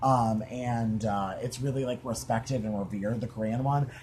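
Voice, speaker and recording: A man's voice comes through somewhat breathy. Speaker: podcast host. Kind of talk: casual chat. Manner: animated.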